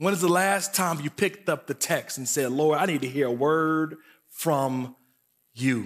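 Against a silent background in a very clean recording, a man with an American accent speaks in an ordinary speaking voice at a moderate pace, with a fairly high pitch and ordinary pitch variation. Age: 30s. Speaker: guest preacher. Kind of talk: sermon. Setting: church service.

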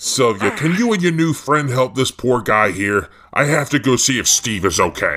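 Using a put-on character voice, a man speaks at a medium pitch with very wide pitch swings and very even loudness. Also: moderate pace. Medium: audio drama.

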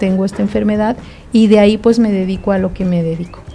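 A woman speaks with fairly even intonation at a medium pitch while noticeable background noise plays behind her. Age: 50s. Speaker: author and lupus patient advocate. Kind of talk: interview. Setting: studio.

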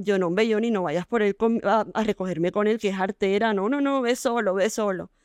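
The quiet recording has a dry, close sound with no echo as a woman speaks at medium pitch and a moderate pace. Her loudness stays very even, with fairly even intonation. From Colombia, Barranquilla. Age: 30s. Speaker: fashion entrepreneur. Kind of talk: interview.

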